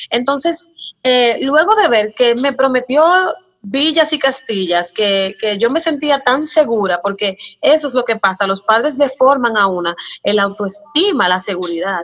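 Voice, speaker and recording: A woman's high-pitched voice at a fairly slow pace, full of very wide pitch swings. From Dominican Republic, San Cristóbal. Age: 20s. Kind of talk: casual interview chat.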